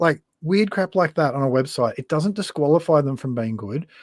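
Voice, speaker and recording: Speaking in a rural Queensland accent, a man has a fairly high pitch and a moderate pace. The sound is dry and close with no echo, on a very clean recording with a silent background. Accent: rural Queensland Australian. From Australia, western Queensland. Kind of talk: casual interview on live stream. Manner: casual, plain-spoken.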